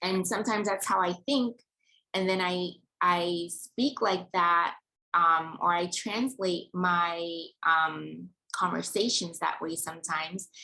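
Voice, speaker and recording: A woman with a Yoruba accent, a fairly low pitch, a bright, sharp tone and a fairly slow pace. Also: ordinary pitch variation. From Nigeria. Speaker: vlogger. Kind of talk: personal vlog monologue. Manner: articulate.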